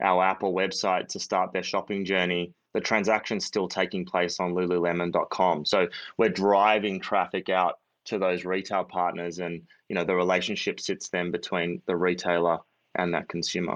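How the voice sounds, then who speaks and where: Over a quiet background, a man with an Australian accent speaks in a very deep, low pitch. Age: 30s. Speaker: startup founder and CEO. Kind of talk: interview. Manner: halting, many fillers.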